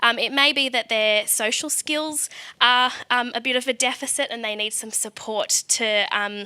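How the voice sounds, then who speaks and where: Bright and sharp in tone, a woman with an Australian accent speaks at a high pitch with fairly even intonation. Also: moderate pace. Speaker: special education teacher presenting at event. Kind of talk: conference presentation.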